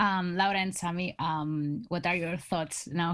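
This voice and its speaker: On a very clean recording with a silent background, a woman with a Spanish accent speaks with a fairly low pitch and fairly even intonation. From Spain. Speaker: student ambassador, podcast host. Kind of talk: podcast interview.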